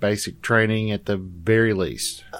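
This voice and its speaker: An unremarkable speaking voice from a man, medium in pitch, at a fairly slow pace. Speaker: tabletop game player. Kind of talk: casual role-play chat.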